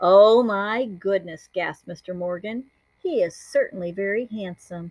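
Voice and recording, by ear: Over a quiet background, the speaker reads aloud in a natural voice with ordinary pitch variation.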